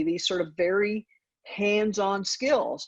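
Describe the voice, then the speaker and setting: With a slight Southern US accent, a woman speaks at a moderate pace and a medium pitch. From US South (Georgia). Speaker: university dean. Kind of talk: interview.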